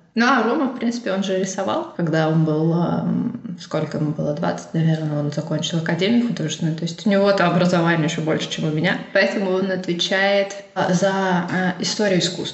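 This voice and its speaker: Through audible room echo and noticeable background noise, a woman talks at a fairly quick pace with a medium pitch and ordinary pitch variation. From Russia, Urals. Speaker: artist. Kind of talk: interview.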